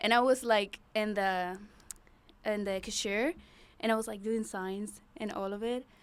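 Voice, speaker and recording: A woman talks in a Venezuelan accent at a fairly high pitch with fairly even intonation. The recording is very clean, with a silent background. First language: Spanish. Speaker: bodybuilder. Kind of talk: casual interview chat.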